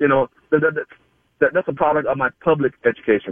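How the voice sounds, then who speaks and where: An ordinary speaking voice from a man with an American accent, fairly high in pitch, at a fairly quick pace. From Georgia, US South. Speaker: radio caller. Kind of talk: call-in radio chat.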